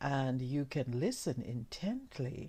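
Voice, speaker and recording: Quiet and very slow, a woman speaks in a dark, mellow tone with very wide pitch swings. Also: very clean recording, silent background. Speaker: ASMR reader. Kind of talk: ASMR soft-spoken reading. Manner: soft-spoken.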